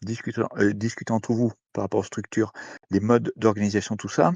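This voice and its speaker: The speaker is a man at a medium pitch. He moves at a fairly quick pace. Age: 60s. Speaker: participant in online citizen forum. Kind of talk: open discussion contribution. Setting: Discord voice call. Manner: hesitant, many fillers and repetitions.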